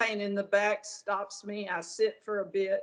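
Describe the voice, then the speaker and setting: Fairly even intonation from a woman with a medium pitch. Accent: Southern US. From US South, northern Arkansas. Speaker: patient. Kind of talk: medical consultation. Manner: halting.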